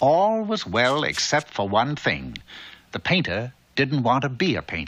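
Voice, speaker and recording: A man of medium pitch has a bright, sharp tone, very wide pitch swings, and vocal fry. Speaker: narrator. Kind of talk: children's cartoon narration.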